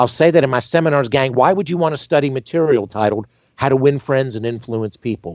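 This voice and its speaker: Here a man with a Southern US accent talks at a very fast pace. His medium-pitched voice has an animated tone. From North Carolina (Greensboro). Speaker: dentist and dental educator. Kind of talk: podcast interview.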